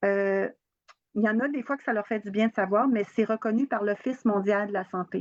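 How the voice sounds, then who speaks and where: A woman talks at a moderate pace in a plain, everyday voice, medium in pitch with fairly even intonation, recorded with a dry, close sound and no echo. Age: 60s. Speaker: holistic therapist and trainer. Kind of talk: interview. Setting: live video stream on social media.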